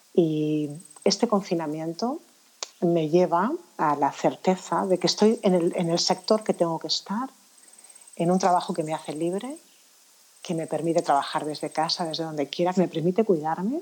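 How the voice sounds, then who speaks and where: A woman talks at a moderate pace in a fairly low pitch with ordinary pitch variation. She has a plain, everyday voice. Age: 50s. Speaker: anti-aging professional. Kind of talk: interview.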